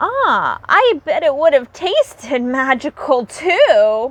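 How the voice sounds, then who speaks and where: Squeaky and high-pitched, a woman's put-on character voice moves at a very slow pace with very wide pitch swings. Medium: read story.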